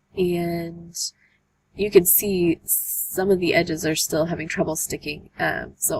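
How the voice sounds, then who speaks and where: Fairly low female voice with vocal fry, flat monotone delivery and a fairly slow pace. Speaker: art journaling youtuber. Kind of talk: tutorial. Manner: hesitant, many fillers.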